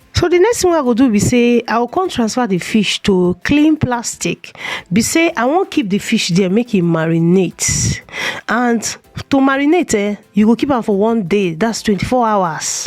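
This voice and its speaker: Music plays in the background. A woman's pitch swings very widely. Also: fairly high pitch for a woman, moderate pace. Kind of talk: cooking tutorial. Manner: casual, chatty.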